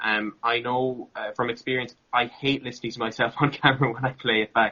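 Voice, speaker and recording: Here a man with an Irish accent talks at a fairly quick pace. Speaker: content creator and interviewer. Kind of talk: interview. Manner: relaxed.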